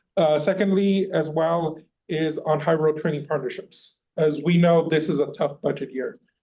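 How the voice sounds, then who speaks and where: A man's fairly high voice has a dark, mellow tone and a monotone, flat intonation. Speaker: labor union representative giving public comment. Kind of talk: public comment at a board meeting. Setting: meeting room, in person. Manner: loud.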